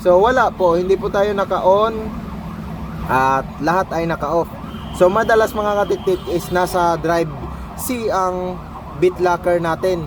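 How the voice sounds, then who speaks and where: Noticeable background noise is present. A man talks at a high pitch over it. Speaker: tech youtuber. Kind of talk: tutorial. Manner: loud; casual.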